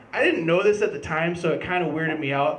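A man talks with ordinary pitch variation. There is audible room echo and light background noise. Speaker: stand-up comedian. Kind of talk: stand-up comedy routine. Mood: animated storytelling, profane. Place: stage. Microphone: handheld.

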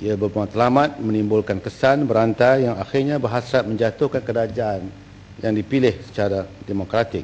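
A man's fairly even intonation and moderate pace come through light background noise. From Malaysia. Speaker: government minister answering in parliament. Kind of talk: parliamentary answer, partly read statement; heated parliamentary debate. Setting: parliament chamber. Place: hall. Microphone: podium.

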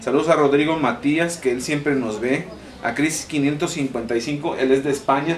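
At a moderate pace, a man speaks with fairly even intonation over light background noise. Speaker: family vlogger. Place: home room. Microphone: camera far.

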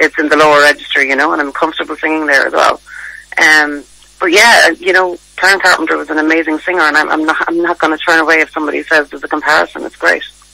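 Speaking fast with vocal fry, a woman uses a low-pitched, bright, sharp voice that shows little pitch movement.

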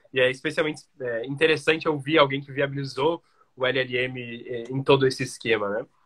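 A man talks at a moderate pace, his medium pitch carried by fairly even intonation. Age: young. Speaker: podcast host. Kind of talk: interview. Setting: live video stream.

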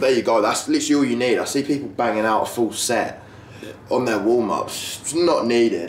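A man talks at a fairly quick pace in a room with audible echo and light background noise. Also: ordinary pitch variation. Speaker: fitness vlogger. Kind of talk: casual vlog chat. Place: garage. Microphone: camera far.

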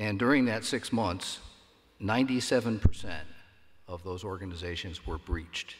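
Very slow and full of long, frequent pauses, a man talks in a somewhat breathy, fairly low voice. His loudness swings a lot, while his pitch varies in an ordinary way. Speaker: panel moderator. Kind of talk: conference panel Q&A. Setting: stage with audience.

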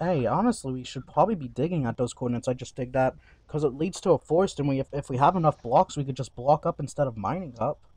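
Talking very fast with hardly any pauses, a man uses a fairly high, somewhat breathy voice with ordinary pitch variation, recorded with a dry, close sound and no echo. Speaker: gaming streamer. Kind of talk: casual gaming stream chat.

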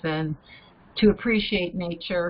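Fairly low-pitched woman's voice with an American accent. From Ohio. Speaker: retired nurse and program volunteer; guest. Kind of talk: casual discussion. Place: home room. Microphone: webcam.

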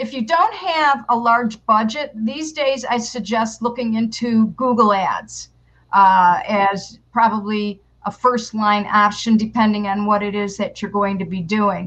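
A woman speaks in a normal speaking voice at a fairly slow pace. Her pitch is fairly high, with ordinary variation. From New York. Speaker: public relations consultant and marketing teacher; marketing teacher. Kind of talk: interview. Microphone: headset.

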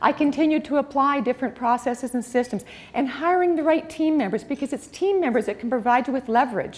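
Here a woman speaks at a very fast pace. Her pitch is high, with ordinary variation. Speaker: speaker. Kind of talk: motivational talk. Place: hall. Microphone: lapel.

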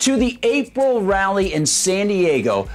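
Lively intonation runs through this man's speech. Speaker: online news commentator. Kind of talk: commentary. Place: studio.

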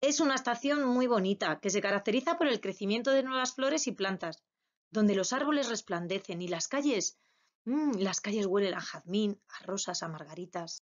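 A woman has an ordinary speaking voice, fairly high in pitch. She talks at a moderate pace with lively intonation. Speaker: preschool teacher. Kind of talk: lesson for young children.

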